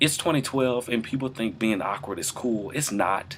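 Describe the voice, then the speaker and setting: Lively in intonation and medium in pitch, a man talks at a moderate pace against noticeable background noise. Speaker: student entertainment writer vlogger. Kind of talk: casual vlog monologue. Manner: hesitant, many fillers.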